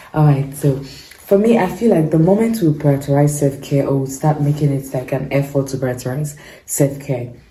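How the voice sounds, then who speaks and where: The speaker moves at a moderate pace with ordinary pitch variation, against noticeable background noise. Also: woman. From Nigeria. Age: 20s. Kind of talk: casual talk to camera.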